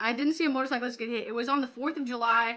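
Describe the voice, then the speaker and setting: Her voice is raised and projected, and this woman's tone is bright and sharp. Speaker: streamer. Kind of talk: live stream chat reading confessions. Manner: animated.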